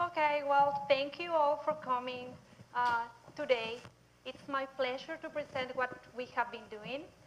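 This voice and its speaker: Fairly slow, high-pitched female speech with a Mexican accent and fairly even intonation. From southern Mexico. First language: Spanish. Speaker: nutrition researcher. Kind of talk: public lecture.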